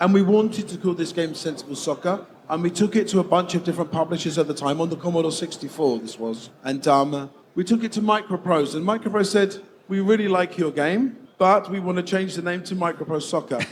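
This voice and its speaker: Talking at a fairly quick pace, a man with an English accent has a high-pitched voice. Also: ordinary pitch variation. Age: 50s. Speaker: game developer. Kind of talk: stage interview.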